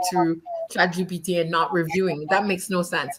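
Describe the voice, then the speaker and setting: There is noticeable background noise behind the speaker. A woman talks at a moderate pace with fairly even intonation. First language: not English (third or later language). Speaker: panelist, children's content creator. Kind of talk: panel discussion.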